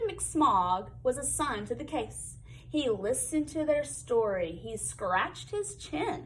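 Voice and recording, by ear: The text is read aloud in a natural voice.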